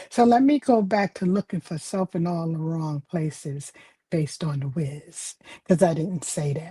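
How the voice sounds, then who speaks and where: A woman's somewhat breathy, fairly low voice with a dark, mellow tone and ordinary pitch variation, dry and close with no echo. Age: 70s. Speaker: author and spiritual speaker. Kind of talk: livestream talk with poem reading.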